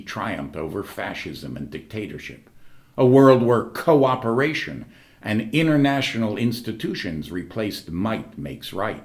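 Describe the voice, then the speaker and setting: A man's fairly low voice with vocal fry, very wide pitch swings, and a moderate pace. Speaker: actor and secular humanist. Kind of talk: commencement speech.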